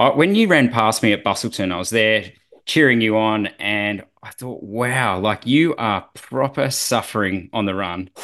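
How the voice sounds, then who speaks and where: The speaker has an Australian accent and talks at a moderate pace. The background is quiet. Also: man, fairly low pitch for a man, ordinary pitch variation. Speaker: podcast host, former triathlete. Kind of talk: casual interview.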